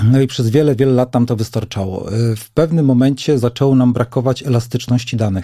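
With a dark, mellow tone and medium pitch, a man talks at a very fast pace using fairly even intonation. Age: 50s. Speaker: company managing director. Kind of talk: interview. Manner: halting.

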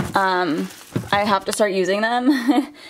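A woman speaks at a fairly slow pace. Light background noise sits behind her. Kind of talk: casual vlog chat. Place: home room. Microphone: phone near.

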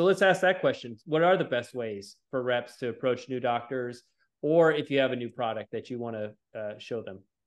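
With hardly any pauses, a man speaks at a fairly quick pace in an ordinary speaking voice, medium in pitch with ordinary pitch variation. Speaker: orthopedic surgeon. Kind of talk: casual chat.

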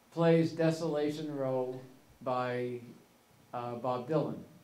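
A man speaks with fairly even intonation, and some room echo can be heard. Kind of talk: storytelling talk. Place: hall. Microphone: podium.

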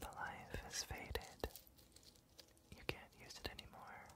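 A man is whispering. He is soft-spoken. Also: fairly slow pace. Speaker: ASMR roleplay host. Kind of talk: soft spoken ASMR roleplay. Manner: soft close whisper. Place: home room.

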